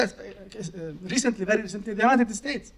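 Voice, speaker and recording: In a Palestinian accent, a man speaks in an animated tone. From Gaza, Palestine. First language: Arabic. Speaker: poet. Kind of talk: Q&A at book event.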